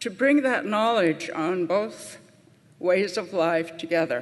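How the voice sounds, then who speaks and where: A woman talks with an American accent and ordinary pitch variation. Room echo is audible. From US Midwest, Pine Ridge Reservation, South Dakota (Lakota). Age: 70s. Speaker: nurse and elder. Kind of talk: conference talk.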